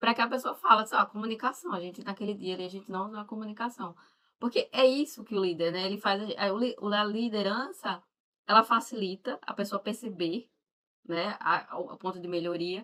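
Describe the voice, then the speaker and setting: Speaking at a fairly quick pace with a northeastern Brazilian accent, a woman has a fairly high pitch, a bright, sharp tone and ordinary pitch variation. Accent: Northeastern Brazilian, marked. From Northeast Brazil. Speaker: mentor and live show host. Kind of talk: live interview chat.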